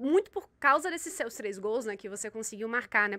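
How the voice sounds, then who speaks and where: A fairly quick pace and a bright, sharp tone. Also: woman, very clean recording, silent background. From Salvador, Bahia, Brazil. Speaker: sports show host. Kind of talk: interview.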